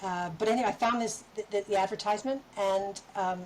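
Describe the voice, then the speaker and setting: A woman with a Canadian accent and a medium pitch speaks at a fairly quick pace with fairly even intonation. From western Canada. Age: 60s. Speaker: artist and poet. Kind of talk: casual chat. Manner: halting.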